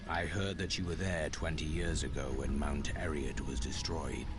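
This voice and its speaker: Loud background noise sits behind a man doing a put-on character voice. He speaks at a moderate pace with a very deep, low pitch. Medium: game stream. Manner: terse, solemn.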